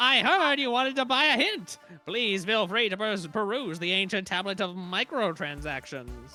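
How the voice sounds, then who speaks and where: With faint music in the background, a put-on character voice at a middle pitch speaks at a moderate pace. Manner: cheerful.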